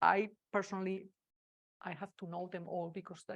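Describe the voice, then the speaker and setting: A woman speaks at a medium pitch with a Spanish accent. The recording is very clean, with a silent background. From Spain. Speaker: agile consultant and speaker. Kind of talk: conference talk. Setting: meetup stage with audience, hybrid.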